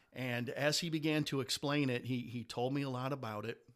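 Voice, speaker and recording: A normal speaking voice at a moderate pace with ordinary pitch variation, in a very clean recording with a silent background. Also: man. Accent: American. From Detroit, Michigan. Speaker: Masonic leader. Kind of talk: casual interview.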